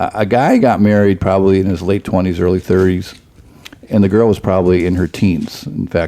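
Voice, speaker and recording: At a fairly quick pace, a man speaks with a very deep, low pitch and fairly even intonation. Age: 60s. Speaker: pastor. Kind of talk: casual chat.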